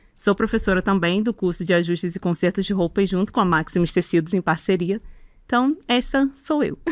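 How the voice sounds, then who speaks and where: With a Rio de Janeiro accent, a woman talks at a moderate pace in a fairly low pitch with ordinary pitch variation, the sound dry and close with no echo. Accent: carioca (Rio de Janeiro). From Rio de Janeiro, Brazil. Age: 40s. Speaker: sewing teacher and content creator. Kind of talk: interview.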